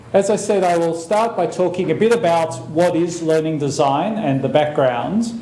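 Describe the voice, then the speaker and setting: A high-pitched man with an Australian accent and lively intonation, moderate in pace with hardly any pauses, amid audible room echo and noticeable background noise. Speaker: professor. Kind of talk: lecture.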